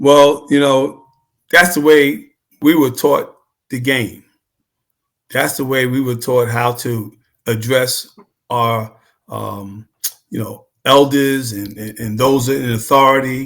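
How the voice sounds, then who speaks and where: With a New York accent, a man speaks at a very slow pace, pausing long and often, his medium-pitched voice keeping fairly even intonation. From New York City (Queens). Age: 70s. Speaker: former basketball player and coach. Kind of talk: casual interview chat.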